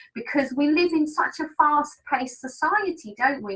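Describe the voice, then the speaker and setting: In an English accent, a woman speaks at a moderate pace. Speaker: business trainer. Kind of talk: webinar training. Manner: animated.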